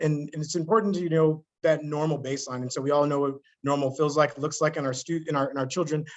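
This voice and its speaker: Using fairly even intonation, a man speaks at a fairly quick pace and a fairly high pitch. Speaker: webinar moderator. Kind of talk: webinar Q&A. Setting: online webinar. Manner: fast.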